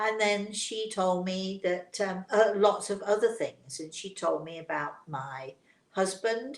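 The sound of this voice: A woman speaks at a slow pace. Room echo is audible.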